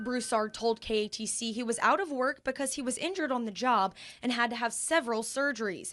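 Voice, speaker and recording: With music in the background, the speech moves at a fairly quick pace with ordinary pitch variation. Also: woman, high pitch for a woman. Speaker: TV news reporter. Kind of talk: TV news reporting, on-location report.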